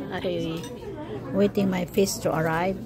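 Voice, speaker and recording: A woman speaks very slowly with ordinary pitch variation. The sound is dry with no echo, though background noise is noticeable. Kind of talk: casual vlog chat. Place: cafe. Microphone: phone near.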